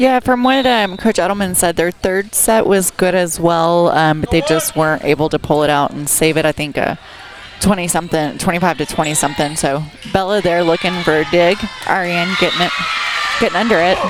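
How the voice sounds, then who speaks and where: Over music in the background, a woman talks at a fairly quick pace, her fairly low pitch showing ordinary variation. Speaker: color commentator. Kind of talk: live sports commentary. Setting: school gym.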